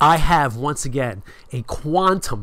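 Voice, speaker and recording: An ordinary speaking voice, a man talks with lively intonation at a fairly high pitch. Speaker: streamer, show host. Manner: casual, self-deprecating.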